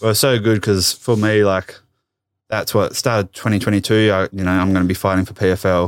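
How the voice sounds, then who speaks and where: In an Australian accent, a man speaks at a fairly quick pace with a fairly low pitch and a monotone, flat intonation. The recording is very clean, with a silent background. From Tasmania, Australia. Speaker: professional MMA fighter. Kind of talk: casual interview. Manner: laid-back.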